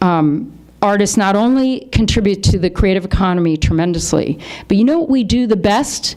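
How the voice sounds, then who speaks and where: Speaking with an American accent, a woman uses a medium pitch, a dark, mellow tone and lively intonation at a moderate pace, with very even loudness. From Philadelphia and Washington, D.C. area, US. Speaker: artist and author. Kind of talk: lecture.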